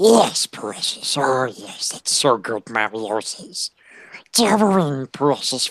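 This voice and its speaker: A put-on character voice, raspy and hissing, sits at a low-to-middle pitch. It moves at a fairly slow pace with very wide pitch swings. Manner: creepy.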